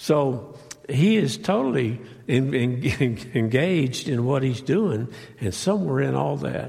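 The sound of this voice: Raspy with vocal fry and a slightly mellow tone, a man speaks slowly at medium pitch with lively intonation.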